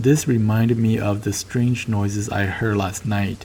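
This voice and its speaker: In a Southeast Asian accent, a man talks at a moderate pace and fairly low pitch against noticeable background noise. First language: Hmong. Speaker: storyteller. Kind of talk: casual chat; first-person story narration. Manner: halting.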